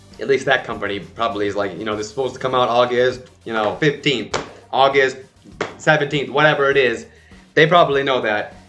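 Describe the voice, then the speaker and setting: Backed by music in the background, a man speaks in an animated tone at a very fast pace. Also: medium pitch for a man, ordinary pitch variation. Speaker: K-pop reaction YouTuber. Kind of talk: casual vlog commentary. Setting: home apartment. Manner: loud.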